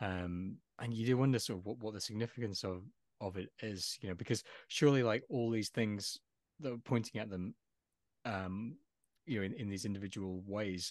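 Against a quiet background, a man with a Lancashire accent speaks fairly quickly in a fairly low pitch with ordinary pitch variation. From northern England, Lancashire (Forest of Bowland area). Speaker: lawyer and writer, podcast co-host. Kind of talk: casual chat. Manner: halting.

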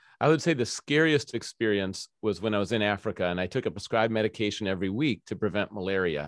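A man's fairly low voice at a fairly quick pace, a normal speaking voice with ordinary pitch variation, in a very clean recording with a silent background and a dry, close sound with no echo. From Minnesota. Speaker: pastor and former pro goalkeeper. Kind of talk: interview conversation.

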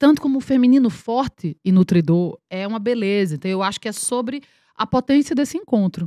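A woman's dark, mellow tone at a fairly high pitch and fairly quick pace, with lively intonation and a dry, close sound with no echo. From Paraíba, Brazil (Campina Grande). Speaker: actress. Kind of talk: casual chat. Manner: animated.

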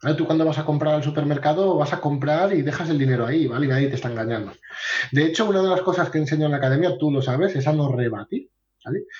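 Someone talks at a very fast pace with ordinary pitch variation. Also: man, fairly high pitch for a man. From Asturias, Spain. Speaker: sales coach. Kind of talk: interview.

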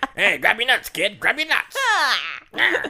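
This is a put-on character voice with a high pitch. The pace is very slow. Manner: goofy, exaggerated.

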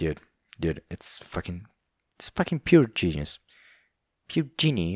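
In a very clean recording with a silent background and a dry, close sound with no echo, a man with an Italian accent speaks at a very deep, low pitch with vocal fry. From southern Italy. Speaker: podcast host. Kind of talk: casual monologue. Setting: home recording with camera. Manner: halting.

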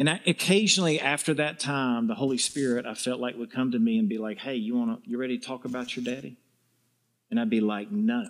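A man with a Southern US accent talks at a very fast clip, his medium pitch swinging very widely. The recording is very clean, with a silent background. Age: 50s. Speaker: visiting preacher. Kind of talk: sermon. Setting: church with congregation.

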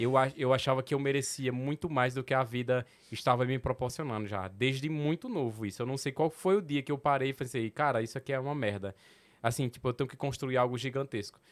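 On a very clean recording against a silent background, the delivery runs at a fairly quick pace. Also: man, medium pitch for a man, ordinary pitch variation. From Petrolina, Pernambuco sertão, Brazil. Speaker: comedian. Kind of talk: casual chat.

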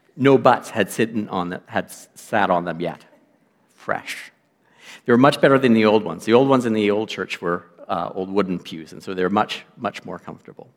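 With a Canadian accent, a man speaks in a normal speaking voice at a fairly quick pace, his fairly low pitch showing ordinary variation and big swings in loudness, on a very clean recording with a silent background. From western Canada (Lloydminster). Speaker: guest lay preacher. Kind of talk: sermon. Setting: church.

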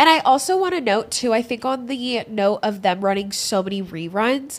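In a very clean recording with a silent background, a woman with a plain, everyday voice and an American accent speaks at a moderate pace in a fairly high pitch. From California, US West Coast. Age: 20s. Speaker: podcast co-host. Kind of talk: casual chat.

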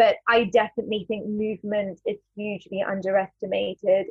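A woman speaks at a medium pitch in a London accent. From London, England. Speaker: actress and spoken word artist. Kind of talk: casual interview. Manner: hesitant, with fillers.

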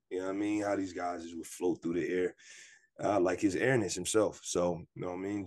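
This is a plain, everyday voice with fairly even intonation. The background is quiet. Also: man. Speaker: basketball podcast host. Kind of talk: casual chat.

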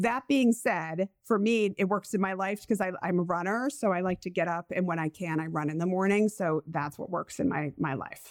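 An American accent at a moderate pace, a normal speaking voice with ordinary pitch variation, hardly any pauses, and a dry, close sound free of echo. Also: woman, medium pitch for a woman. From Rhode Island, US. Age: 40s. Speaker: sleep psychologist and podcast host. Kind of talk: casual chat, podcast intro.

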